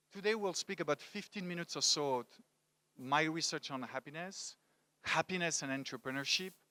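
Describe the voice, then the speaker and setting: The man's voice is fairly high in pitch with a bright, sharp tone, ordinary pitch variation and a moderate pace. The recording is very clean with a silent background, and the sound is dry and close with no echo. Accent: French. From France, Paris. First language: French. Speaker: motivational speaker. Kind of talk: talk to a live audience. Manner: animated.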